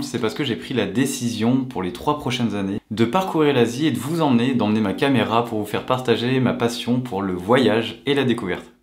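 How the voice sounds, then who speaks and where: Talking fairly quickly with hardly any pauses, a man at a medium pitch shows ordinary pitch variation amid noticeable background noise and audible room echo. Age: 30s. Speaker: travel vlogger. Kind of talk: vlog. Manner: casual, animated.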